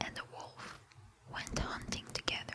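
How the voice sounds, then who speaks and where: Over noticeable background noise, a woman whispers at a very slow pace. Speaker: ASMR creator. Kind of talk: fable reading, bedtime story. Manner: whispered with mouth sounds.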